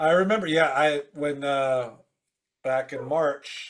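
In a quiet background, a man speaks at a fairly slow pace with ordinary pitch variation. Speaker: podcast host. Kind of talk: casual chat. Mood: friendly, admiring. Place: home room.

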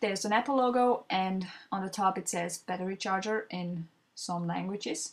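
Speaking with a non-native accent, a woman uses a medium pitch and ordinary pitch variation at a moderate pace. The recording is very clean, with a silent background. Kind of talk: product unboxing voiceover.

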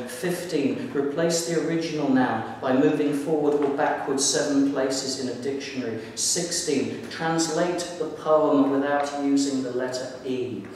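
A man speaks fairly slowly with fairly even intonation. Strong room echo and light background noise surround the voice. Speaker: poet. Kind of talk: poetry reading. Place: hall. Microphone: camera far.

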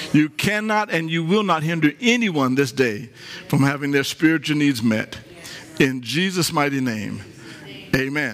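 With faint music in the background, a man speaks at a moderate pace, leaving long, frequent pauses. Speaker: pastor. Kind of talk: sermon. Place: church. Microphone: headset.

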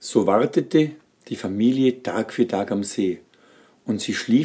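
Lively intonation throughout a natural reading voice.

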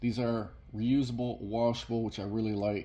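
The man's voice is somewhat breathy, with a dark, mellow tone. He keeps a moderate pace and fairly even intonation. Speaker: shopping deals vlogger. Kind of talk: product walkthrough commentary. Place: shop. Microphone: phone near.

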